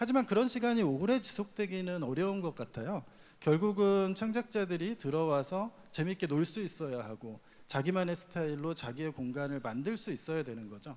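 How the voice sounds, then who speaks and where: This man's voice sits high and swings very widely in pitch. He talks at a moderate pace. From Chungcheong Province, Korea. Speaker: platform executive. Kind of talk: panel discussion.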